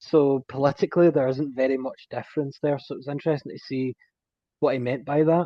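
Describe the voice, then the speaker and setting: In a Scottish accent, a man speaks at a fairly high pitch with fairly even intonation. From Scotland. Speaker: technology specialist, podcast guest. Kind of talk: casual chat.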